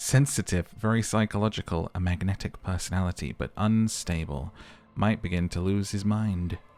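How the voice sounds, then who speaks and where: On a very clean recording with a silent background, a man with an ordinary speaking voice talks at a fairly quick pace and a fairly low pitch. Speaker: gaming YouTuber, game commentator. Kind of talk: casual gameplay commentary to camera.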